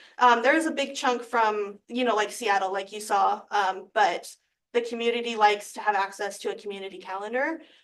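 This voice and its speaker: At a fairly quick pace, a woman talks with fairly high pitch and ordinary pitch variation. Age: 20s. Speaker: chamber of commerce director. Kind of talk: presentation to county board. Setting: public meeting, Zoom. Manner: fast.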